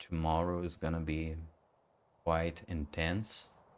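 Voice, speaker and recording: A man with a very deep, low voice speaks at a very slow pace. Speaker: gaming streamer. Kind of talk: live stream gameplay commentary.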